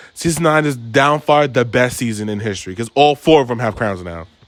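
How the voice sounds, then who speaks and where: Music plays behind a man with an American accent. He sounds animated, moving at a fairly quick pace with ordinary pitch variation. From Long Island, New York. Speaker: podcast host. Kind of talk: casual chat.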